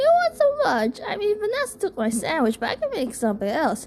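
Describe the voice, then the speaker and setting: A woman does a put-on character voice at a high pitch and a fairly quick pace, with clear background noise. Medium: read story. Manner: theatrical, whiny.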